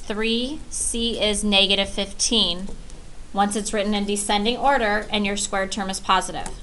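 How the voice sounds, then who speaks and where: In a recording with noticeable background noise and audible room echo, a woman speaks at a fairly high pitch with fairly even intonation. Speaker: math teacher. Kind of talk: lecture.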